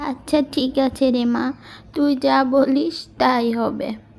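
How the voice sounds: This put-on character voice moves at a slow pace with vocal fry, fairly even intonation and a slightly mellow tone. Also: woman, high pitch for a woman.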